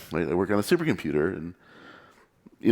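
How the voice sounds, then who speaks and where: With an American accent, a man is talking. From United States. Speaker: computer scientist and conference speaker. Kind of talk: conference talk. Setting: meetup stage with audience. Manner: fast.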